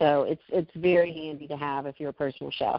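This is a woman speaking. Her intonation is fairly even. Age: 50s. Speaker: personal chef. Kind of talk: casual chat.

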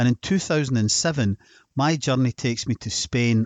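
With a Scottish accent, a man talks at a moderate pace with ordinary pitch variation. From Scotland. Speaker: health podcast host and supplement seller. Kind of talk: scripted narration.

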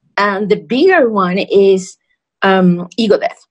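With a Spanish accent, a woman speaks at a fairly high pitch in a somewhat breathy voice with ordinary pitch variation. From Mexico. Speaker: podcast co-host. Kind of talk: casual chat. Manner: animated.

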